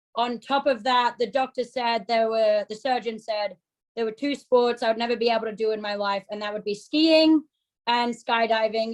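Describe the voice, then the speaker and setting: The speaker has an Australian accent and a moderate pace. Pitch variation is ordinary. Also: woman. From Australia, Sydney. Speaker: ski coach and yoga instructor. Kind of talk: interview.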